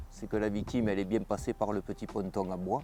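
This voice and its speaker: The man talks at a fairly low pitch with ordinary pitch variation. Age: 50s. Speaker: volunteer firefighter and dog handler. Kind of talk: interview testimony and on-site explanation. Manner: hesitant, frequent filler euh.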